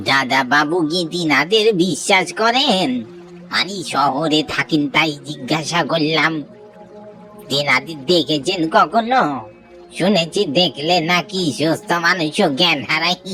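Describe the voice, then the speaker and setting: A cartoonish character voice speaks at a fairly slow pace with a middle pitch and a raspy sound. Clear music plays in the background. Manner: sly, eerie, laughs often.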